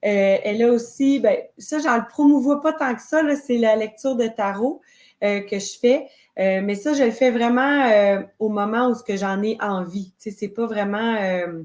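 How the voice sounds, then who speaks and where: A woman with a Quebec accent, fairly high pitch and ordinary pitch variation at a fairly slow pace, on a very clean recording with a silent background. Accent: Québécois French. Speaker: witch and spiritual circle leader. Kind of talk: interview. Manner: hesitant.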